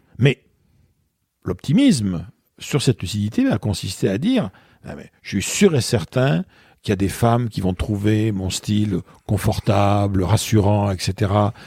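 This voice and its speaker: A man speaks at a fairly slow pace in a dark, mellow, somewhat breathy tone, with ordinary pitch variation, long and frequent pauses, and big swings in loudness. The sound is dry and close, with no echo. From southwestern France, Bordeaux. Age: 60s. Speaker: author and public speaker. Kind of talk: interview conversation. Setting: in person. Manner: hesitant, many fillers.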